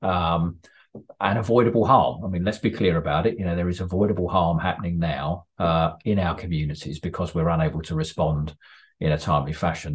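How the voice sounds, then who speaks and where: Against a quiet background, a man speaks with a very deep, low pitch, somewhat breathy delivery and ordinary pitch variation. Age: 40s. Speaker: ambulance service chief executive. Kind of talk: interview. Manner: halting.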